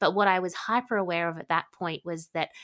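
A woman with an Australian accent talks at a fairly quick pace in a fairly low voice with ordinary pitch variation. The recording is very clean with a silent background and a dry, close sound with no echo. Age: 40s. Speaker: psychic medium. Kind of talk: interview.

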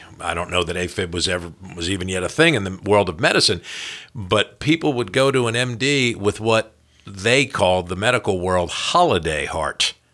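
A man's fairly low voice with lively intonation, a normal speaking voice, at a fairly quick pace. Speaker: podcast host. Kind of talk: casual chat. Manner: talkative.

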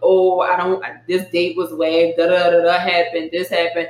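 A whiny, put-on character voice comes through. It holds a monotone, flat intonation at a moderate pace. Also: man, high pitch for a man. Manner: whining, mocking.

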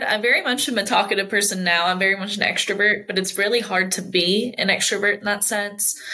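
A woman talks at a very fast pace. There is noticeable background noise. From US military family, moved between countries. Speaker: college student and nonprofit intern. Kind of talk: interview. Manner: animated.

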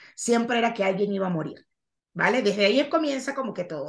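Speaking in a coastal Venezuelan accent, a woman delivers her words with a bright, sharp tone and lively intonation. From Venezuela, Caribbean coast. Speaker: actress and podcaster. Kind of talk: interview about mental health. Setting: video call.

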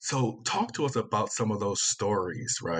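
Noticeable background noise behind a man's fairly low voice, with ordinary pitch variation and a moderate pace. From Virginia, US South. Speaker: podcast host. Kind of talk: interview.

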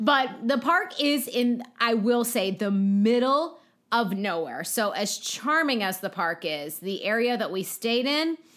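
At a fairly slow pace, a woman with an American accent uses an ordinary speaking voice, fairly high in pitch with lively intonation. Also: hardly any pauses. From Pittsburgh, Pennsylvania. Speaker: podcast co-host. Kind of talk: casual chat.

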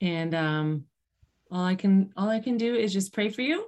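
It is an ordinary speaking voice with an American accent, at a moderate pace. The pitch varies in an ordinary way over a quiet background. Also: woman. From Western New York. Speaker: podcast host, cancer exercise specialist. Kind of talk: interview.

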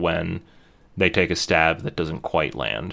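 Vocal fry runs through this man's voice. He moves along at a fairly quick pace. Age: 30s. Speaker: podcast co-host. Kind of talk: casual chat.

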